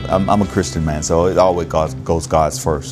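Someone with an American accent speaks with lively intonation. Music plays clearly in the background. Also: man. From Florida, USA. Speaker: army chief warrant officer. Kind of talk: interview answer. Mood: proud, reflective, sincere. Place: studio. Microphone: lapel.

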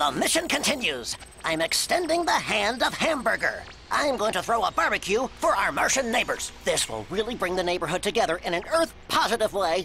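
A cartoonish character voice speaks at a fairly high pitch and fairly quick pace with very wide pitch swings. Clear background noise runs underneath. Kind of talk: cartoon comic acting. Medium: comedy sketch. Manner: pompous, gung-ho, oblivious.

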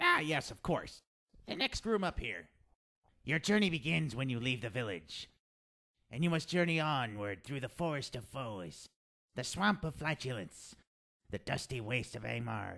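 A man's put-on character voice at medium pitch, with long, frequent pauses, on a very clean recording with a silent background. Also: moderate pace. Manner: theatrical, rambling, salesman-like; hesitant, stammering.

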